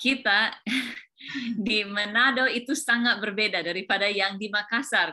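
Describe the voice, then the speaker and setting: Her tone bright and sharp, a woman speaks with an English accent. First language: English (speaking Indonesian). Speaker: teacher. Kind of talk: interview. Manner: halting.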